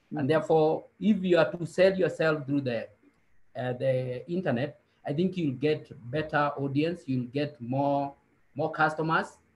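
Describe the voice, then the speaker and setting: Speaking at a moderate pace, a man's somewhat breathy voice sits fairly high, with ordinary pitch variation. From Kenya. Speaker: statistician. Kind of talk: panel discussion. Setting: video call webinar. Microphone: video call.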